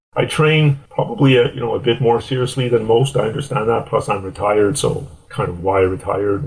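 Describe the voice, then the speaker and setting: A man talks in a plain, everyday voice. His pitch varies in an ordinary way. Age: 60s. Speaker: endurance athlete. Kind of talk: interview.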